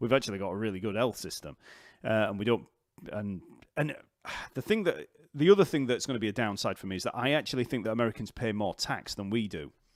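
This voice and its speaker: With a Yorkshire accent, a man talks very fast at a medium pitch with ordinary pitch variation and long, frequent pauses, on a very clean recording with a silent background. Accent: Yorkshire, unchanged. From northern England, Leeds/Wakefield. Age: 40s. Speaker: bass teacher. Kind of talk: live stream Q&A chat. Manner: casual, hesitant with fillers.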